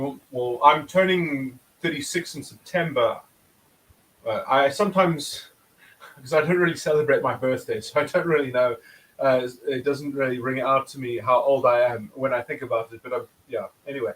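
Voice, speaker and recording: A man in a normal speaking voice, fairly high in pitch, at a moderate pace with ordinary pitch variation. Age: 30s. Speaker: philosophy channel host. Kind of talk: casual chat.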